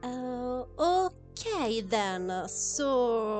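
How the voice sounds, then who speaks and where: Music sits in the background. The speaker, in a non-native accent, uses lively intonation. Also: woman. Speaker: gameplay streamer. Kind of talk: casual live-stream talk to viewers. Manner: hesitant, many fillers.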